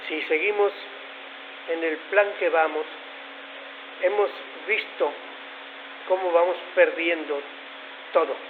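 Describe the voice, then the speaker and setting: A man with a high pitch speaks at a very slow pace with long, frequent pauses and fairly even intonation. The audio carries audible room echo and noticeable background noise. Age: 70s. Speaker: conference speaker. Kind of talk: lecture.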